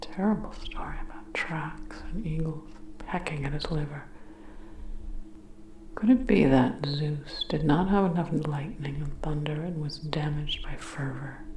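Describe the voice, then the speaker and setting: Noticeable noise fills the background. Over it, a woman talks fairly slowly. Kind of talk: ASMR sleep reading. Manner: soft-spoken, slow.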